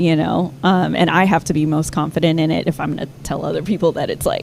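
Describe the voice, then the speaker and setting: Talking at a fairly quick pace with an American accent, a woman with a fairly low pitch is heard over noticeable background noise. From Texas (Austin), Ethiopian family. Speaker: singer-songwriter. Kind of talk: casual interview chat. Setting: studio.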